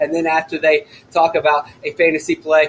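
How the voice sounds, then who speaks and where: Noticeable noise behind a fairly high-pitched male voice. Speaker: NASCAR fantasy podcast host. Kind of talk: podcast commentary. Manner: loud, shouting; animated.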